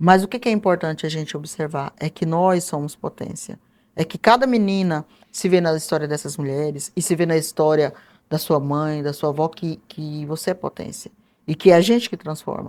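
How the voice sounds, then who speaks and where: The woman has a very deep, low pitch with ordinary pitch variation and a moderate pace. The recording is very clean, with a silent background. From interior of Mato Grosso, Brazil. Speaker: historian and author. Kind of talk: interview.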